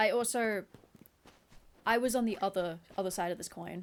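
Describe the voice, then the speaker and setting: Animated in tone, a woman with an Australian accent speaks at a moderate pace and fairly high pitch. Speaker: video game streamer. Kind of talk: casual live-stream chat. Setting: live stream with face cam.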